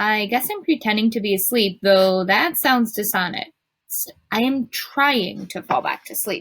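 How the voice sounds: The background stays quiet while a natural reading voice carries ordinary pitch variation.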